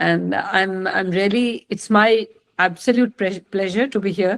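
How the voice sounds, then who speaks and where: A woman with an Indian accent speaks at a fairly slow pace. Her pitch is medium and varies in an ordinary way. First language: Maithili. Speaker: retired senior police officer, mentor. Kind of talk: online lecture to students, Hindi-English mix. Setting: video call. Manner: halting, many fillers.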